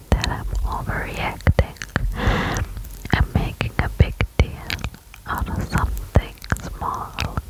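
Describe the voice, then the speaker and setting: Someone whispers at a very slow pace with long, frequent pauses. Noticeable background noise is present. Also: woman. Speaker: ASMR creator. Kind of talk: ASMR reddit story reading. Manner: whispered, soft.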